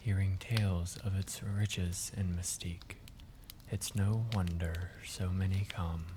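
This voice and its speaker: A man's very deep, low, somewhat breathy voice in a relaxed, calm tone, with monotone, flat intonation at a fairly slow pace. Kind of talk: sleep story.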